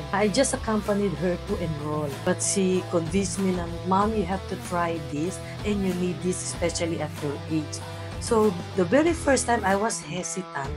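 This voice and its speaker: A woman speaks at a moderate pace. Clear music plays behind her. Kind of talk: interview answer. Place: gym. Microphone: lapel.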